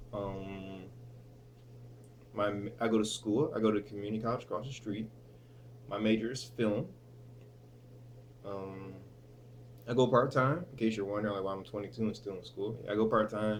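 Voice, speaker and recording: A man's fairly low voice with fairly even intonation, long, frequent pauses and audible room echo. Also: moderate pace. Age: 20s. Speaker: vlogger and student. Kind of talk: casual vlog. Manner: hesitant, many fillers.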